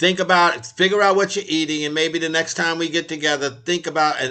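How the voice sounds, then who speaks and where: Over noticeable background noise, a man with a fairly high voice talks very fast, barely pausing. His pitch varies in an ordinary way. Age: 80s+. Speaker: health and nutrition co-host. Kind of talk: live talk show. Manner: halting.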